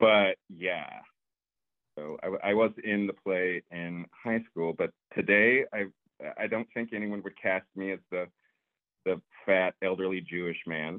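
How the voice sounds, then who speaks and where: The delivery is fairly slow, with long, frequent pauses and fairly even intonation. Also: man, fairly low pitch for a man. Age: 30s. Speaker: actor. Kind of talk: casual chat.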